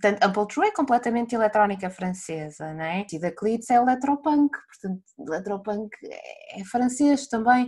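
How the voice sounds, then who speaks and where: A woman speaks at a moderate pace in a fairly high, somewhat breathy voice, with lively intonation and big swings in loudness. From northern Portugal. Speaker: music journalist. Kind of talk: casual chat.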